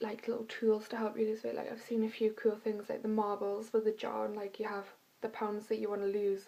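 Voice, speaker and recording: A woman rattles along very fast in a fairly high, dark and mellow voice with monotone, flat intonation. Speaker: vlogger. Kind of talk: casual vlog monologue. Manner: chatty, many fillers.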